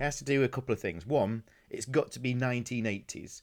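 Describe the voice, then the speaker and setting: The man has a slight South Yorkshire accent and a medium pitch. He talks at a very fast pace with ordinary pitch variation. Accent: South Yorkshire English, mild. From Doncaster, northern England. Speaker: podcast host. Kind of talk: casual chat. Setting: video call.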